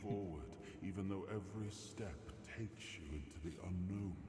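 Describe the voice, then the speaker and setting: Over loud background noise with a clear echo, a man does a put-on character voice at a fairly low pitch and a moderate pace. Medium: video game. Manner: calm, measured, reflective.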